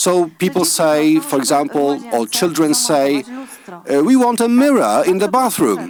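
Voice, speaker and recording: A high-pitched man with very wide pitch swings talks at a moderate pace over noticeable background noise. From Poland, Poznań area. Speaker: school teacher or head. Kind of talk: conference panel talk. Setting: conference hall, live stream. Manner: halting, with hesitations.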